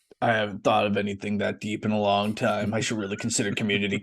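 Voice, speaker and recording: A man's raspy, put-on character voice, fairly low in pitch, with monotone, flat intonation at a very fast pace. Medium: actual play. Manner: overly polite, folksy and rambling.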